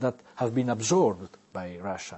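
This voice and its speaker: A man with an Italian accent speaks at a moderate pace. His intonation is fairly even. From Italy. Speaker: novelist and newspaper columnist, language inventor. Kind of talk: interview. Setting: studio. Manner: halting.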